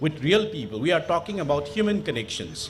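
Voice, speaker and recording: A man speaks in a Manipur accent with lively intonation. His pitch is fairly high. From Manipur, northeast India. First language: Manipuri. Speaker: panel speaker, international relations academic. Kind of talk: panel talk. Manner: halting, many fillers.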